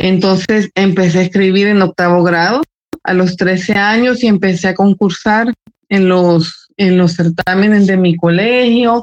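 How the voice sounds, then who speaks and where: In a plain, everyday voice, a woman speaks at a fairly slow pace with medium pitch, fairly even intonation and very even loudness, the sound dry and close with no echo. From El Salvador. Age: 40s. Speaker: writer and journalist. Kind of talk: casual interview.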